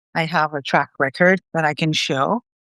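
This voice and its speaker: A speaker with a non-native accent talks at a fairly slow pace with fairly even intonation, in a dry, close sound with no echo over a quiet background. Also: woman. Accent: non-native accent, noticeable. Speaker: solo consultant, audience member. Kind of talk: audience question.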